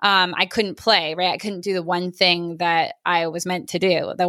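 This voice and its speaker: In a fairly low pitch and a bright, sharp tone, a woman speaks at a moderate pace, captured on a very clean recording with a silent background and a dry, close sound with no echo. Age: 20s. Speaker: photographer and model. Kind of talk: casual interview. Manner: halting, many fillers.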